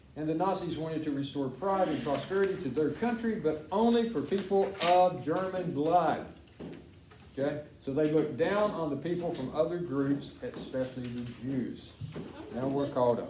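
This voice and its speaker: Lively in intonation, a man speaks at a moderate pace with a fairly high pitch. Audible room echo and noticeable background noise are present. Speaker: school teacher. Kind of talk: classroom lesson reading from textbook.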